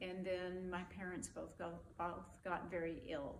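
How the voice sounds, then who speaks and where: In a room with audible echo, a woman speaks at a medium pitch and a fairly slow pace. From West Texas (Abilene). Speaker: army veteran. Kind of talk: oral history interview. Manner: conversational, with hesitations.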